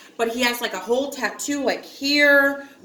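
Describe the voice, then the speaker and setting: A raised, projected voice at a moderate pace shows ordinary pitch variation, with audible room echo and noticeable background noise. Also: woman. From upstate New York, small town. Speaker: vlogger. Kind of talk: casual storytelling chat. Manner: chatty, filler-heavy.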